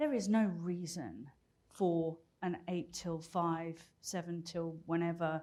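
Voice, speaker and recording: A woman speaks with a British accent at a fairly low pitch. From Britain. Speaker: business executive and keynote speaker. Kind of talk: conference talk.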